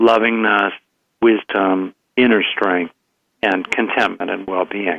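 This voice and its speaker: At a fairly slow pace, a man talks in an ordinary speaking voice with ordinary pitch variation. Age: 60s. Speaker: psychologist and author. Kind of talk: interview.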